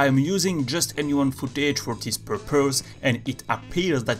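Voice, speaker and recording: A man's medium-pitched voice with a non-native accent, music in the background. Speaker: video game analysis youtuber. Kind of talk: game commentary narration.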